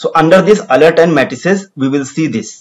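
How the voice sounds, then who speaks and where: The speaker has an Indian accent and a moderate pace. The intonation is lively. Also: man. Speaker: tech tutorial presenter. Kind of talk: tutorial.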